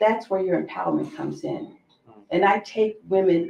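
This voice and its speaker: A woman speaks at a moderate pace in a normal speaking voice, medium in pitch, with lively intonation. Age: 60s. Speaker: women's empowerment coach. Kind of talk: panel discussion.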